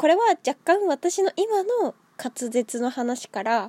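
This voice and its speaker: Her pitch leaps very widely, and the recording sounds dry and close without any echo. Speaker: solo podcaster. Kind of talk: casual solo talk. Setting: at home with cat on lap. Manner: animated, high-energy; stumbles over words, frequent laughter.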